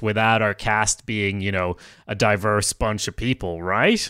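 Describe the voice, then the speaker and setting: Speaking with a Swedish accent, a man keeps a moderate pace and a fairly low pitch in a dry, close sound with no echo. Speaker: podcast host, writer. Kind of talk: casual chat.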